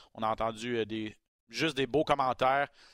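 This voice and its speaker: At a moderate pace, a man with an unremarkable speaking voice talks at medium pitch with fairly even intonation, in a dry, close sound with no echo on a very clean recording with a silent background. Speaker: MMA podcast host. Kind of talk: casual chat.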